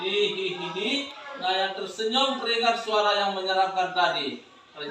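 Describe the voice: The intonation is fairly even. What we hear is plain reading aloud.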